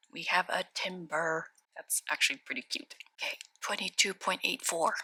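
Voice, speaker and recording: A soft-spoken woman at medium pitch with lively intonation, a moderate pace and a dry, close sound with no echo. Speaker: Pokemon card opening YouTuber. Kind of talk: pack opening commentary. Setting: at home at night.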